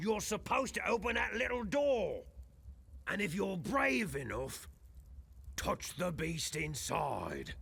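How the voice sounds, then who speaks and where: A man puts on a raspy character voice, high for a man, at a fairly slow pace with long, frequent pauses. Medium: video game. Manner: theatrical, swings between gloom and bluster.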